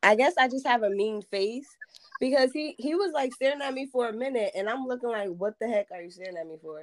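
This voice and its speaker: A woman with a New Jersey accent talks at a very fast pace in a high voice, with lively intonation and big swings in loudness. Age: 20s. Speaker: podcast guest. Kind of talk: casual chat.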